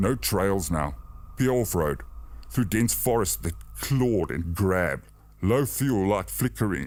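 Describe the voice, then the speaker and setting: In a calm tone, a man with a very deep, low voice and vocal fry speaks fairly slowly, his pitch swinging very widely while his loudness stays very even. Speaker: narrator. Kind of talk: horror story narration for sleep. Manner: steady, calm.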